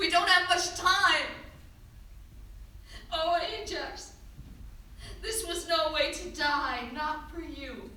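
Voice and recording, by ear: A woman's put-on character voice, extremely high-pitched and bright and sharp in tone, at a slow pace with ordinary pitch variation and audible room echo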